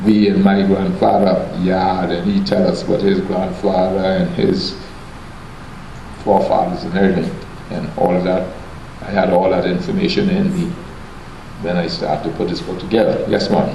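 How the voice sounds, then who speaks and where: There is noticeable background noise throughout. A man talks at a moderate pace, leaving long, frequent pauses. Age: 70s. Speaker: author and storyteller. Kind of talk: public talk answering audience questions. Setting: museum event hall.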